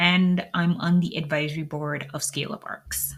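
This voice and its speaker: A woman's fairly slow, flat, monotone delivery. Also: very clean recording, silent background. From British Virgin Islands. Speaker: podcast host, tech architect. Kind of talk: solo podcast monologue.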